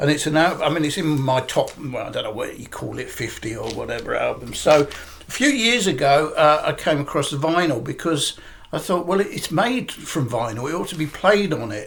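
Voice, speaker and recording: A man talks at a moderate pace with hardly any pauses while noticeable background noise is heard. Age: 60s. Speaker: record collector YouTuber. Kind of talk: casual vlog talk. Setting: living room at home. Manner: halting, many fillers.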